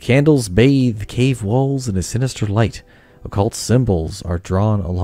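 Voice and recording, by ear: The clip is reading aloud. It is done in a natural voice.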